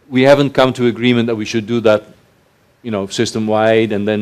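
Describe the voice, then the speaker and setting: A man speaks at a fairly quick pace in a medium pitch. He has a Dutch accent. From Netherlands. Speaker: research organization chief executive. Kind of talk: panel conversation.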